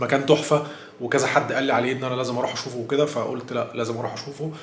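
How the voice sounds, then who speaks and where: Very fast and in a monotone, flat intonation, a man speaks with audible room echo and noticeable background noise. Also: medium pitch for a man. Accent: Egyptian. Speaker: travel vlogger. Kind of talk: travel vlog. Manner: casual, hesitant with fillers.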